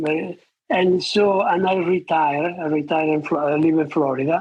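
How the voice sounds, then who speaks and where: At a fairly slow pace, a man with a non-native accent speaks in a high pitch. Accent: foreign. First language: not English. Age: 80s+. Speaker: retired surgeon, author. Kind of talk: interview. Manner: halting.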